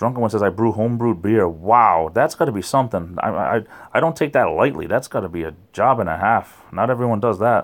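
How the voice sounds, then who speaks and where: A New England accent with hardly any pauses, on a very clean recording with a silent background. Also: man, lively intonation, fairly quick pace. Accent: New England, noticeable. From Rhode Island, southern New England. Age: 40s. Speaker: YouTuber. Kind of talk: livestream chat with viewers. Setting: late night livestream at home. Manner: slurred words.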